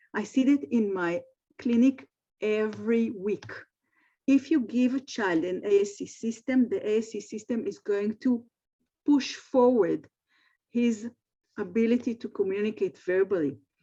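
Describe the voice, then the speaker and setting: Against a quiet background, a woman with a fairly high pitch speaks at a fairly slow pace with long, frequent pauses, her dark, mellow tone somewhat breathy and her pitch varying in an ordinary way. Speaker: speech therapist and AAC center director. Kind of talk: webinar presentation. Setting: video call from her office. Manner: halting.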